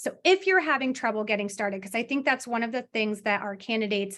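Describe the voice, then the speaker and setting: A woman speaks in a plain, everyday voice, pitched fairly high with ordinary pitch variation. The background is quiet. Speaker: workshop trainer. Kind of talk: workshop presentation.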